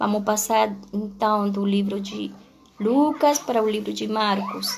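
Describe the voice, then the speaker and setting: A woman talks very slowly while audible room echo fills the recording. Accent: Spanish. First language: Spanish (speaking Portuguese). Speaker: pastor. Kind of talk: sermon. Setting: livestream on social media. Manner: halting.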